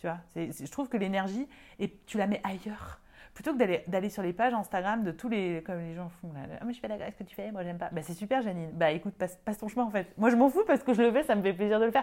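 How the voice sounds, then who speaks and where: The woman talks at a very fast pace with a dark, mellow tone at medium pitch, showing ordinary pitch variation and big swings in loudness. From France, Lyon. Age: 30s. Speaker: medium and energy healer. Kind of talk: casual interview.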